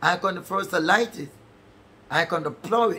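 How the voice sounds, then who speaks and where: Speaking at a fairly slow pace, a man uses a high pitch, an animated tone and ordinary pitch variation. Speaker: preacher. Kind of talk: sermon. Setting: church service streamed online. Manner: animated, fervent, preaching in full flow with call-and-response. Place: home room.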